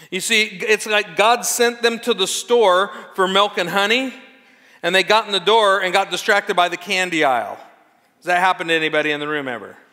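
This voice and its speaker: A man's raised, projected voice with a bright, sharp tone over a quiet background. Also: ordinary pitch variation, fairly quick pace. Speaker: pastor. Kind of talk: sermon. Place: church. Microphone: lapel.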